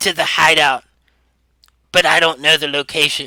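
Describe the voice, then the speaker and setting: A man uses a put-on character voice that is raspy and fairly high-pitched. He speaks at a moderate pace. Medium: actual play. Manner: halting, stammering.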